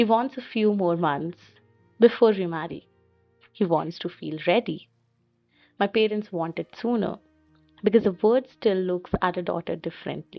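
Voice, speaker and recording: Soft-spoken and gentle in tone, a woman speaks at a medium pitch with ordinary pitch variation and long, frequent pauses while music plays in the background. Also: moderate pace. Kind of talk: poetic reflective narration. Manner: soft, gentle.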